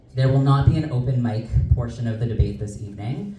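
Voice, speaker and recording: At a fairly quick pace, a man speaks at medium pitch with ordinary pitch variation, with audible room echo and noticeable background noise. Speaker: debate moderator. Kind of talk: event moderation. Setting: community hall event with live audience. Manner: projects voice without microphone.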